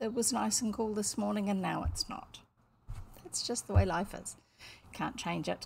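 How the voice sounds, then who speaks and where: A somewhat breathy woman speaks at a fairly high pitch on a very clean recording with a silent background. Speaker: storyteller reading aloud. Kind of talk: casual talk to camera. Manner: chatty, friendly.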